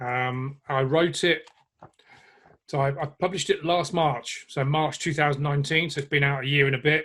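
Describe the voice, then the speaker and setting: A man's fairly high, bright and sharp voice with an English accent, fairly even intonation and a moderate pace. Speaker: online fitness and nutrition coach. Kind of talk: interview answer. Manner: blunt, humorous.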